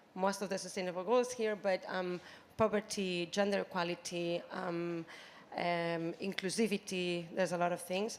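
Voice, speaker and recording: A woman of medium pitch with a Spanish accent speaks at a moderate pace with fairly even intonation. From Spain, Barcelona. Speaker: youth sports program representative. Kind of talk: panel interview. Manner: hesitant, many fillers.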